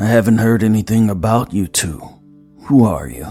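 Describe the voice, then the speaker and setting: A man's put-on character voice at medium pitch and moderate pace, with faint music in the background. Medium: read story. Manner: curt, clipped, brutally indifferent.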